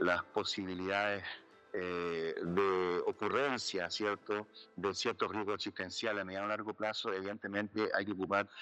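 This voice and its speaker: In a Chilean accent, a man speaks at a moderate pace with a fairly low pitch and a bright, sharp tone. The background is quiet. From Chile, Santiago. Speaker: jurist and philosopher, bioethics scholar. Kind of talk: interview conversation. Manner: hesitant, many fillers.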